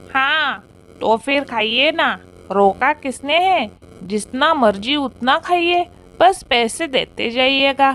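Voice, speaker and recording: A cartoonish character voice, female-sounding and high in pitch, speaks at a very slow pace. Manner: gloating, spiteful.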